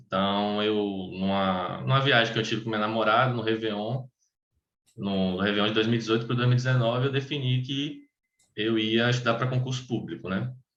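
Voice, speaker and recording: Amid audible room echo, a man speaks at a fairly quick pace in a medium pitch with fairly even intonation. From Bahia, Brazil (Salvador). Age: 20s. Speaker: tax auditor. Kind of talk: personal testimony in an online meeting. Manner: halting, many fillers and restarts.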